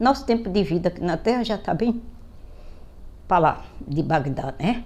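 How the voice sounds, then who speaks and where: A woman's medium-pitched, dark, mellow voice with vocal fry, very wide pitch swings and a moderate pace. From Brazil, Pernambuco (Greater Recife). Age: 70s. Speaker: political commentator vlogger. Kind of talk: political monologue vlog. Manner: animated.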